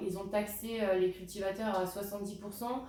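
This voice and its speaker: Noticeable background noise and audible room echo surround a woman's medium-pitched voice. She talks at a fairly quick pace with fairly even intonation. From France, Alsace. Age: 20s. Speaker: product presenter. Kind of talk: sales pitch. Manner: halting, frequent hesitations.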